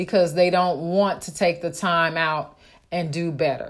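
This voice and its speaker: A normal speaking voice at a moderate pace on a very clean recording with a silent background. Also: woman. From Oakland, California. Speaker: real estate wholesaler. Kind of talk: solo podcast monologue.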